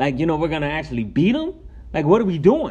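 Audible room echo surrounds a man's fairly high voice. He talks at a very fast pace. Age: 20s. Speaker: solo podcast host. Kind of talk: casual solo monologue. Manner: animated, filler-heavy.

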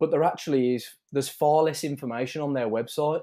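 A man with a British accent and a dark, mellow tone, speaking at a fairly quick pace. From UK. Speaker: wine blogger and engineer. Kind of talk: casual interview. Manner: halting, repeats words.

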